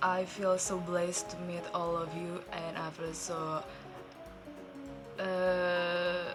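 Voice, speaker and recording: Over music in the background, a woman speaks at fairly low pitch with fairly even intonation. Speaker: YouTube reactor. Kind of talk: casual talk to camera.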